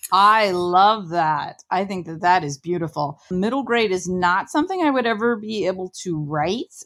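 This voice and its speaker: In a normal speaking voice, a woman with an American accent talks at a moderate pace and medium pitch, with lively intonation and hardly any pauses, on a very clean recording with a silent background. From Ohio, small town. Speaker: podcast host and author. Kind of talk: interview.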